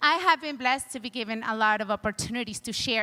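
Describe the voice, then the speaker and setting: With a non-native accent, a woman speaks at a fairly quick pace with lively intonation in an animated, bright, sharp tone. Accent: foreign. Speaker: chiropractor and motivational speaker. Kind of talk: conference talk. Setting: stage with audience.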